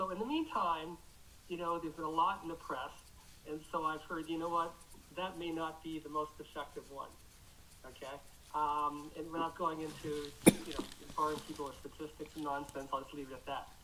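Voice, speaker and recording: The speech moves at a fairly quick pace, broken by long, frequent pauses. Noticeable background noise runs underneath. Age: 60s. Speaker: class participant. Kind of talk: question in a class. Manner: halting, repetitive.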